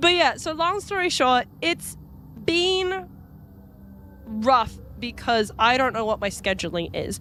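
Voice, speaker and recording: With music in the background, a woman talks at a very slow pace, leaving long, frequent pauses, her high pitch making very wide swings. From New Zealand. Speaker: vtuber streamer. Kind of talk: casual chat. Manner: animated.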